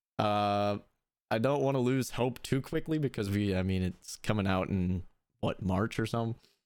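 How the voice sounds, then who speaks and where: A man with a plain, everyday voice speaks at a moderate pace, fairly low in pitch with ordinary pitch variation. The loudness stays very even, and the recording is very clean with a silent background. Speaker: podcast host. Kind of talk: casual chat about video games. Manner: casual, upbeat.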